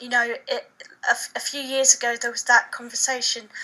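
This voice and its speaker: A woman with a southern English accent speaks in a raised, projected voice at a fairly quick pace, with ordinary pitch variation. Noticeable background noise runs underneath. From England, Suffolk. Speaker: author. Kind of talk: interview.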